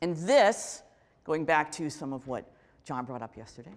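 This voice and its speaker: An animated tone comes from a woman speaking at a moderate pace. The recording is very clean, with a silent background. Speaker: keynote speaker, author. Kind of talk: keynote talk.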